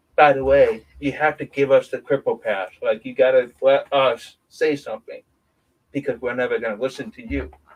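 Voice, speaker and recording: Big swings in loudness, with a New York accent. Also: man, moderate pace. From upstate New York, between Rochester and Syracuse. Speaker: guest. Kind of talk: casual chat.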